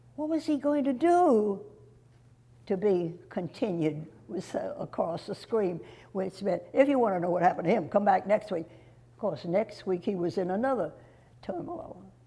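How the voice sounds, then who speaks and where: Somewhat breathy, with a dark, mellow tone, a woman of medium pitch speaks at a moderate pace, her pitch swinging very widely and broken by long, frequent pauses. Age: old. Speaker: local resident recalling history. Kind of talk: oral history interview.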